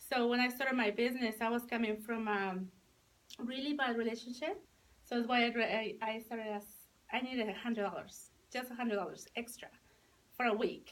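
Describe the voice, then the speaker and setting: Her pitch fairly high and her intonation fairly even, a woman talks at a fairly quick pace broken by long, frequent pauses. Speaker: sales director. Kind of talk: testimony. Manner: halting, with many fillers.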